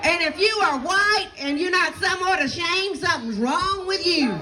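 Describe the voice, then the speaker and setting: Over crowd noise and audible room echo, a woman with a Southern US accent uses a raised, projected voice, speaking at a fairly slow pace with lively intonation and an animated tone. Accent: Southern US (Georgia). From US South, southeast Georgia. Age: 60s. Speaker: pastor. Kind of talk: rally speech. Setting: outdoor rally with crowd.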